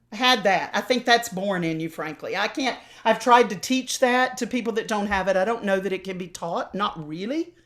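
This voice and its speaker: Recorded very cleanly against a silent background, a woman speaks with an American accent at a medium pitch. Her pace is moderate, with ordinary pitch variation and hardly any pauses. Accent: slight Southern, mostly dropped. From US South. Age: old. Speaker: opera singer and voice teacher. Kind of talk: interview.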